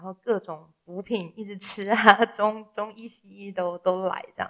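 With monotone, flat intonation, the woman's voice holds a medium pitch. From Taiwan. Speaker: classical singer and voice teacher. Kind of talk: interview conversation.

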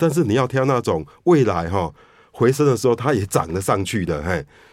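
A man at medium pitch and moderate pace, with very wide pitch swings, on a very clean recording with a silent background. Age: 50s. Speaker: investment newsletter editor. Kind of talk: radio interview.

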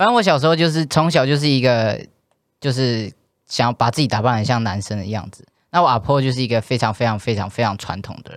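In a very clean recording with a silent background, a man talks at a very fast pace, his medium pitch showing ordinary variation. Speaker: transgender podcast co-host. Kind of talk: casual chat. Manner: animated.

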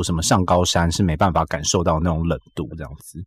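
Very fast and somewhat breathy, a man's voice runs on. The recording is very clean, with a silent background. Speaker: radio host. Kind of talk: casual chat.

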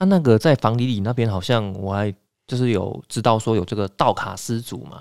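With an unremarkable speaking voice at medium pitch, a man talks at a fairly quick pace with ordinary pitch variation, recorded very cleanly against a silent background with a dry, close sound and no echo. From Taiwan. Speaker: podcast host. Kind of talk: casual interview.

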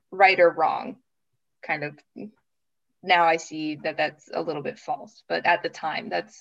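In a quiet background, a woman with an American accent talks at a moderate pace with vocal fry, ordinary pitch variation, big swings in loudness, and long, frequent pauses. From US Midwest, Minnesota. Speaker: master's student, former English teacher. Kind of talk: casual interview.

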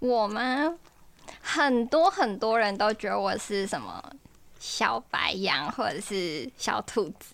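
A woman's fairly high voice with very wide pitch swings, at a very slow pace. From Taiwan, Taichung. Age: 20s. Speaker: dating show guest, university student. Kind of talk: casual chat.

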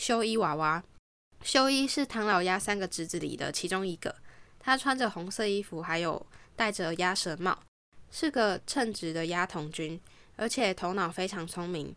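Lively intonation from a woman at medium pitch and moderate pace, on a very clean recording with a silent background. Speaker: podcast host and home organizing consultant. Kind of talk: scripted narration reading listener stories. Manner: languid, lazier-sounding than usual.

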